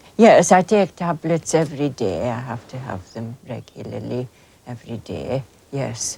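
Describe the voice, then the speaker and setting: A woman with a very deep, low pitch talks at a moderate pace, her pitch swinging very widely. Noticeable background noise is present. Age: 60s. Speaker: hill farmer. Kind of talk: documentary interview. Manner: halting.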